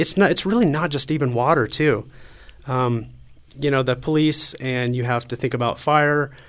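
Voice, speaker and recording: A man's unremarkable speaking voice at medium pitch with an American accent, at a moderate pace and with fairly even intonation, in a very clean recording with a silent background. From Colorado, Colorado Springs area. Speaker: city council candidate. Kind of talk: interview.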